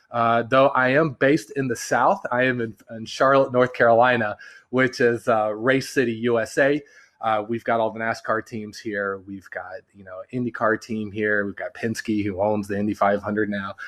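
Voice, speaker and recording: A man with a Californian accent at medium pitch, moderate pace and fairly even intonation, with big swings in loudness against a quiet background. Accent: sounds Californian. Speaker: branding agency partner. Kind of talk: podcast interview.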